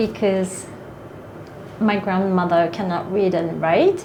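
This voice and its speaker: A woman with a Japanese accent at a medium pitch and fairly slow pace, with audible room echo and noticeable background noise. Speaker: author and manga artist. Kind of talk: interview. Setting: literary festival. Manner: halting.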